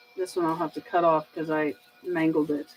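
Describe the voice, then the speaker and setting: A woman speaks with a Southern US accent. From US South. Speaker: 3D printing streamer. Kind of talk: live stream Q&A. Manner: casual, rambling; loud at times.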